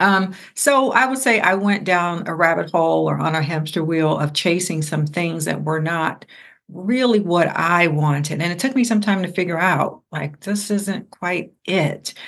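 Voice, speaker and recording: A woman with an American accent and a plain, everyday voice speaks at a fairly slow pace with a fairly low pitch, ordinary pitch variation and hardly any pauses, over a quiet background. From Ohio, US Midwest. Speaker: religion scholar and entrepreneur. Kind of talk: interview conversation.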